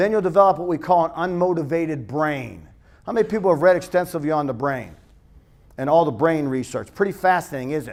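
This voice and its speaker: Speaking at a very fast pace, a man uses a high pitch and lively intonation in a very clean recording with a silent background. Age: 50s. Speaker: strength and conditioning coach. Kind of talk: conference talk. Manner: animated.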